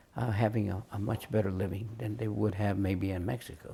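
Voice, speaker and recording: A dark, mellow voice with vocal fry speaks with an American accent. The pace is moderate. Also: man. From Harbor City, California. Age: 80s+. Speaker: grandfather telling family history. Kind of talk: oral history interview. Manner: halting, many fillers.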